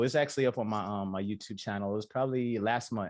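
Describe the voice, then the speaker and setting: A man with an American accent and a fairly low pitch speaks fairly quickly with fairly even intonation against a quiet background. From Florida. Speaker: YouTuber and rapper. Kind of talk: interview answer. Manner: casual, conversational.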